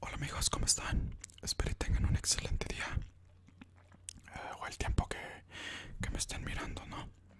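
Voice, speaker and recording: A man whispers in a soft-spoken way. His pace is moderate. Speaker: ASMR channel host. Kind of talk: soft-spoken ASMR trivia narration. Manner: soft whispered ASMR greeting. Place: home room. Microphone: studio mic.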